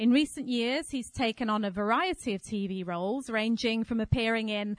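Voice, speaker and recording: An unremarkable speaking voice talks at a fairly slow pace. The sound is dry and close with no echo, and the background is quiet. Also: woman. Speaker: festival event presenter. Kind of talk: formal introduction. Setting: stage with audience. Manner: formal.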